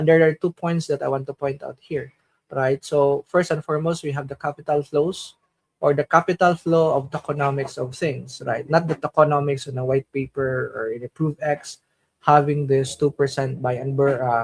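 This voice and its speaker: A man with a Filipino accent speaks at a moderate pace and a fairly high pitch, somewhat breathy, with fairly even intonation and a dry, close sound with no echo. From Philippines. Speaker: crypto streamer. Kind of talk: conference panel talk. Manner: halting.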